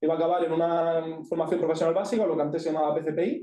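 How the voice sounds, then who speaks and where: With an Andalusian accent and a high pitch, a man talks at a very fast pace amid audible room echo. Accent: Granada. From Andalusia, Spain (Granada). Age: 20s. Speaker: speaker sharing personal experience with ADHD. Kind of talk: talk to an audience. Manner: informal, with many fillers.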